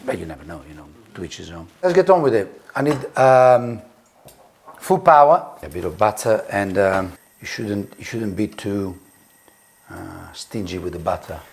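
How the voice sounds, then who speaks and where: A man with an Italian accent speaks in a fairly low pitch at a moderate pace, with lively intonation and big swings in loudness. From Italy. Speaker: tattoo artist and designer. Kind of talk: casual chat while cooking. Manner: halting, many fillers.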